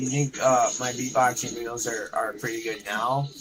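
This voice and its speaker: With music in the background, a man with a medium pitch speaks at a moderate pace. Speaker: gaming streamer and beatboxer. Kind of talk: live gameplay stream chat. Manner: repetitive stammering.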